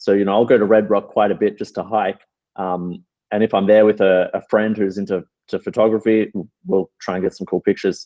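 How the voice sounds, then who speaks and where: A man with an Australian accent speaks at a fairly quick pace in a fairly low voice, his intonation monotone and flat. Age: 30s. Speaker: calisthenics athlete and coach. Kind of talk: interview.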